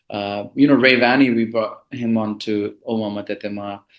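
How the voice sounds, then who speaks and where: Medium-pitched male voice with a Bengali accent at a moderate pace. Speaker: music composer and producer. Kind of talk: interview. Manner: casual, lots of fillers.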